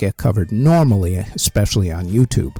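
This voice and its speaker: A man speaks with a dark, mellow tone and lively intonation, somewhat breathy, in a dry, close sound with no echo. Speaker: music history podcaster. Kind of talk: casual channel update monologue.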